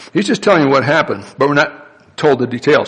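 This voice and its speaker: A man in a fairly high pitch, with noticeable background noise. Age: 60s. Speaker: pastor. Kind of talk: sermon. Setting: church.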